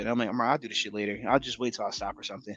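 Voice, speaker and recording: Someone with a slight New York accent talks at a very fast pace. The tone is animated. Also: man. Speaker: podcast co-host. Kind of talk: casual chat.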